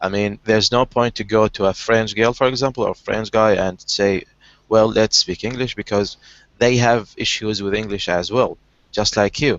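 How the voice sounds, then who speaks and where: Speaking with an Arabic accent, a man with a fairly low voice talks at a moderate pace with fairly even intonation. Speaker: online language session host. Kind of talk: casual conversation practice. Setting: video call. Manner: halting, many repetitions.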